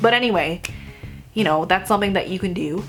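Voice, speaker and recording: Over music in the background, a woman speaks loudly with very wide pitch swings. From Vietnamese heritage. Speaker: vegan food blogger. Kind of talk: casual talk to camera.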